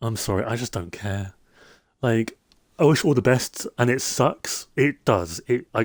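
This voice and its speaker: In a British accent, a man with a medium pitch speaks at a fairly slow pace with ordinary pitch variation, his voice dry and close with no echo on a very clean recording against a silent background. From UK. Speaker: Minecraft streamer. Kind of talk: casual live stream chat.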